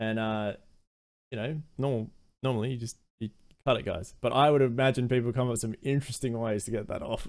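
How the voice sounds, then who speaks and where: A man at medium pitch speaks very fast with an Australian accent, his intonation fairly even and broken by long, frequent pauses. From Australia, Adelaide. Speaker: variety streamer and former amateur esports player. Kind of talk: casual chat.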